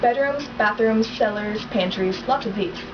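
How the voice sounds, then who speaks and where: Against noticeable background noise, a woman with a fairly high pitch talks with lively intonation. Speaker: book reader on video channel. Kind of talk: reading aloud. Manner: fast.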